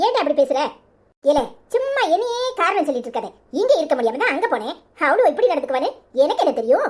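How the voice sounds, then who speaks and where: A cartoonish character voice, high in pitch, races along at a fairly quick pace with very wide pitch swings. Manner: grumbling, defensive.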